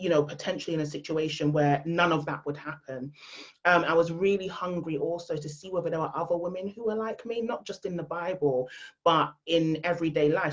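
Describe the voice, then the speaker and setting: A woman's fairly low voice with a London accent and ordinary pitch variation. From England, London. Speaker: female empowerment speaker. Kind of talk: podcast interview. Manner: loud.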